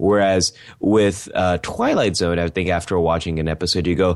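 A man with an American accent, very deep and low in pitch, at a moderate pace. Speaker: podcast co-host. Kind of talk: casual chat.

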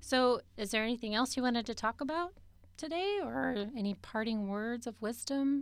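Speaking with an American accent, a woman has a plain, everyday voice. Her pitch is fairly high with ordinary variation, and her pace is moderate. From California Central Valley. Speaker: podcast host, program director. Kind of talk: casual interview. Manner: warm, laughs often.

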